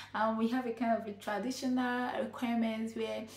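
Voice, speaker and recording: A woman with a fairly high-pitched voice speaks amid audible room echo. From Nigeria. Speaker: vlogger, nurse and midwife. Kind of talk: advice vlog. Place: home room.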